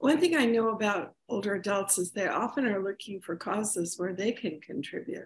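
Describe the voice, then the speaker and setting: Somewhat breathy, a woman speaks at a medium pitch and a moderate pace, with ordinary pitch variation. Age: 70s. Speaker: podcast co-host. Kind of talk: podcast interview.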